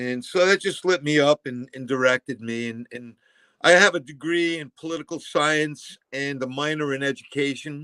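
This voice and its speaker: Speaking with an American accent, a man with an unremarkable speaking voice and fairly high pitch talks at a moderate pace, with ordinary pitch variation and big swings in loudness, in a dry, close sound with no echo. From Massachusetts, Fall River. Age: 60s. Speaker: former teacher and school board member. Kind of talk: interview.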